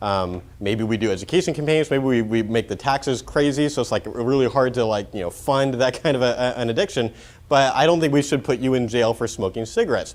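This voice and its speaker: With an American accent, a man of medium pitch talks at a very fast pace. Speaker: pro-life speaker. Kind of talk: conference talk. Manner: casual, filler-heavy.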